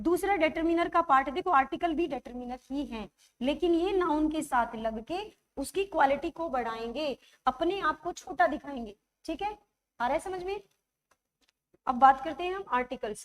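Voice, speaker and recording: A woman with a high-pitched voice speaks at a fairly slow pace, her intonation lively and her loudness swinging widely. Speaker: English grammar teacher. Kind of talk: online live class lecture. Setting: live stream class.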